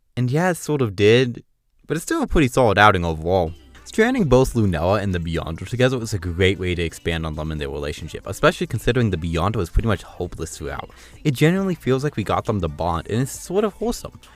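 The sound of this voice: A man's fairly low voice at a fast pace, full of big pitch swings, with faint music in the background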